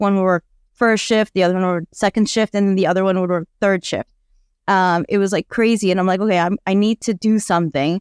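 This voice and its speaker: Very fast and very even in loudness, a woman's fairly evenly intoned speech sounds dry and close with no echo in a very clean recording with a silent background. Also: medium pitch for a woman. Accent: American. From Afghan refugee family via Pakistan, raised in the US from age five. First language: Dari / Farsi. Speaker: nonprofit co-founder, domestic abuse advocate. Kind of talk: podcast interview.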